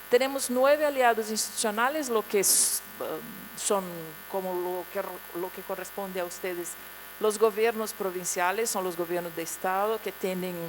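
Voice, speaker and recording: With a Portuguese accent, a woman talks at a moderate pace and medium pitch with ordinary variation, over noticeable background noise. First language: Portuguese (speaking Spanish). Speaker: international agency official. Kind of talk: conference presentation. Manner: halting.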